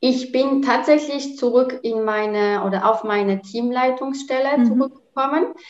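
At a fairly slow pace and with hardly any pauses, a woman with a Polish accent speaks in a high pitch with ordinary pitch variation. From Poland. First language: Polish (speaking German). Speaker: working mother and corporate employee. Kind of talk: interview.

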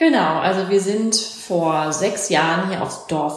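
At a fairly slow pace, a woman of medium pitch speaks with ordinary pitch variation, amid audible room echo and noticeable background noise. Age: 30s. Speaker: trainee paramedic, trained opera singer. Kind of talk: interview.

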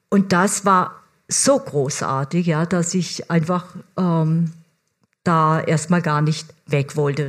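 Her voice fairly low and somewhat breathy, a woman speaks with ordinary pitch variation. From Germany. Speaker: foreign correspondent. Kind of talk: stage interview. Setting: stage with audience.

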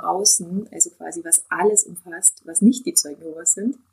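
A woman talks in a medium pitch, her tone dark and mellow. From southern Germany, Allgäu. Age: 40s. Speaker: naturopath. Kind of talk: interview testimony.

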